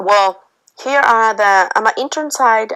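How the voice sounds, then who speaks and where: Spanish accent at a moderate pace. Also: woman. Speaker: university student intern. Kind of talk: class presentation.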